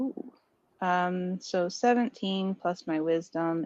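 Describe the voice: Someone engages in plain reading aloud.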